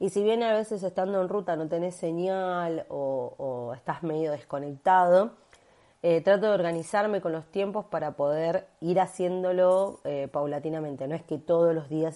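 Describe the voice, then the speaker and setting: A woman speaks with a Rioplatense accent at a moderate pace. The background is quiet. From Argentina, Buenos Aires. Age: 30s. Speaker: digital nomad, digital marketer. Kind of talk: recorded testimony.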